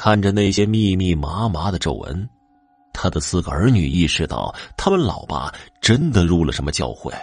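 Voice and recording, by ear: Natural read-aloud delivery with ordinary pitch variation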